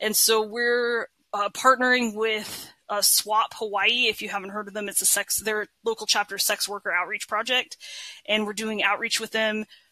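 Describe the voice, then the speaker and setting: A woman speaks with a fairly high pitch and a bright, sharp tone. Her intonation is monotone and flat, and the sound is dry and close with no echo. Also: moderate pace. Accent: American. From northern California. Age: 40s. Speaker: therapist and social worker. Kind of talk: casual interview.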